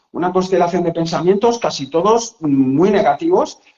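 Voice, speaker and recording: A man's high pitch and dark, mellow tone with lively intonation. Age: 60s. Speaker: psychologist and author. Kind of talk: casual interview chat. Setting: live video call. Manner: animated.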